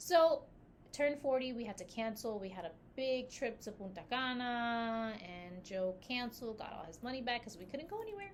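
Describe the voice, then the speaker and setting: In a room with audible echo, a woman with a fairly high pitch talks at a moderate pace in an animated tone with lively intonation. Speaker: podcast co-host and business founder. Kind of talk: casual chat.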